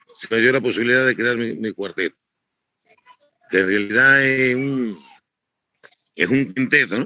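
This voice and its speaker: With long, frequent pauses, a man talks in a bright, sharp tone. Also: medium pitch for a man, ordinary pitch variation, fairly slow pace. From eastern Cuba. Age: 60s. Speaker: musician and composer. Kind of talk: interview. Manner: halting.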